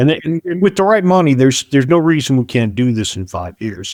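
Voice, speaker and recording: Very wide pitch swings mark this man's fairly quick delivery, recorded with a dry, close sound and no echo. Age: 60s. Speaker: software business founder. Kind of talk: podcast interview about business valuation.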